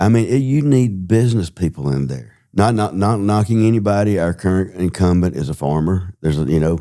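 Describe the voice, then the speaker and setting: A man with a Southern US accent talks at a fairly quick pace with lively intonation. His very deep, low pitch carries a dark, mellow tone. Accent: Southern US (Georgia). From US South, Georgia (Hall County). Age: 60s. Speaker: political candidate, business owner. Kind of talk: interview. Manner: halting, with filler words.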